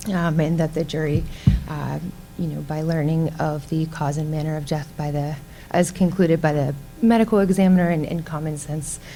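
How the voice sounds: A soft-spoken woman with a low pitch and a dark, mellow tone talks at a moderate pace with few pauses and fairly even intonation.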